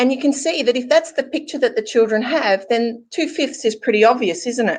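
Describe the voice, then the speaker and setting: A woman's high, lively voice with an Australian accent at a fairly quick pace. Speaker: math teacher presenter. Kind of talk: webinar presentation.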